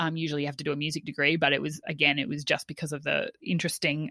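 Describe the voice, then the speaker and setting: A woman speaks loudly in a bright, sharp tone. Her tone is energetic. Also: quiet background. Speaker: teacher and wellbeing advocate. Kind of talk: casual interview chat. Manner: loud, energetic.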